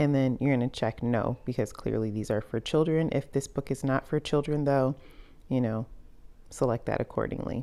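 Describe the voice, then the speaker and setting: The intonation here is lively. The woman's voice has a dark, mellow tone. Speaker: children's book author and YouTuber. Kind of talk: tutorial. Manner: fast; casual.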